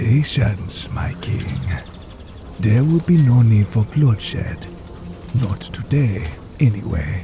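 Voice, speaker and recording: A man's medium-pitched put-on character voice at a fairly slow pace, with clear background noise. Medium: machinima. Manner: smooth, deferential.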